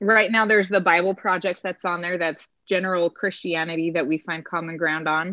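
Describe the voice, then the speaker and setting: With an American accent and a normal speaking voice, a woman talks at a moderate pace in a fairly low pitch with fairly even intonation. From Utah, Salt Lake City. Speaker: streaming service representative. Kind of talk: casual chat.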